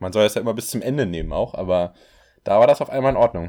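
Fairly quick speech is captured on a very clean recording against a silent background. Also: man. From Berlin, Germany. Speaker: podcast co-host. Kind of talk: casual chat.

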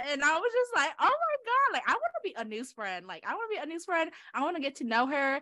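Over noticeable background noise, a woman with an American accent speaks very fast in a raised, projected voice. Her pitch is extremely high and swings very widely. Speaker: podcast co-host. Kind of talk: casual chat.

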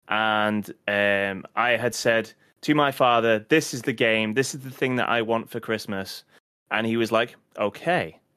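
A man talks at a fairly slow pace at a medium pitch with ordinary pitch variation. The recording is very clean, with a silent background. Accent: British. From UK. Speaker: podcast host. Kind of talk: casual chat.

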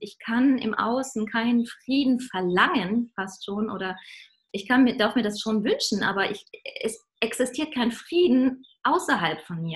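A woman with a normal speaking voice talks at a fairly slow pace and fairly high pitch with ordinary pitch variation. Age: 30s. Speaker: singer and spiritual songwriter. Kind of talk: interview.

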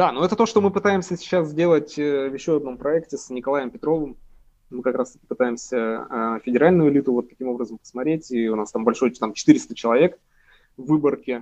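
Lively intonation runs through a man's fairly high-pitched speech. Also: fairly quick pace, big swings in loudness. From Urals, Russia. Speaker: political scientist. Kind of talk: interview. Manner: hesitant, many fillers.

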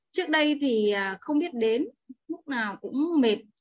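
Her pitch swinging very widely, a woman talks at a very slow pace. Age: 40s. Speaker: course participant. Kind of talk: testimony. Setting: video call.

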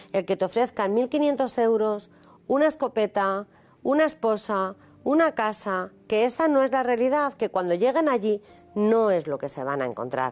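Fairly high female voice at a moderate pace, full of very wide pitch swings. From Spain, Madrid. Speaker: author. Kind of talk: testimony.

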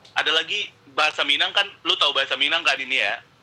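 A man speaks over noticeable background noise. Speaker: podcast guest. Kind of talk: casual chat. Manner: animated, casual.

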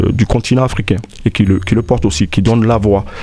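A man speaks at a moderate pace with ordinary pitch variation. Noticeable background noise is present. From Ivory Coast (Abidjan), Burkinabe parents. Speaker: festival organizer. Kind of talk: interview. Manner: halting, many fillers.

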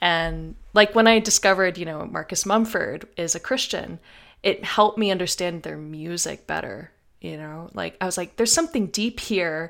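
A woman with an American accent, a fairly low pitch, vocal fry and big swings in loudness at a moderate pace, in a very clean recording with a silent background. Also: ordinary pitch variation. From US South. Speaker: podcast host. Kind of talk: casual chat.

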